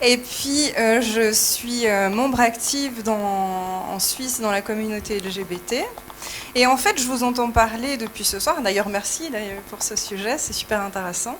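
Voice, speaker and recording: A woman's fairly high voice with ordinary pitch variation at a fairly slow pace, amid noticeable background noise. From Switzerland. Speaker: audience member, sexologist. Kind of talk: audience question.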